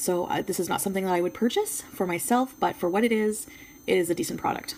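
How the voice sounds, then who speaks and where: A woman talks at a very fast pace and medium pitch, with ordinary pitch variation. Noticeable background noise runs underneath. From Quebec. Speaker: beauty YouTuber. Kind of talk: product review. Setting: home filming with ring light. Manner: casual, hesitant with fillers.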